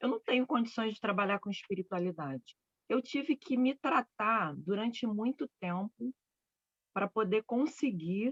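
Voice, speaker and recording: A woman speaks fairly slowly in a fairly high voice with lively intonation. The sound is dry and close, with no echo. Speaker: spiritual therapist. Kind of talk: casual chat. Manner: loud.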